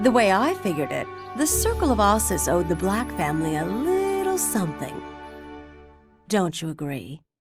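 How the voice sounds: A woman's put-on character voice at medium pitch, slightly husky at the edge, moderate in pace, with very wide pitch swings and faint music in the background.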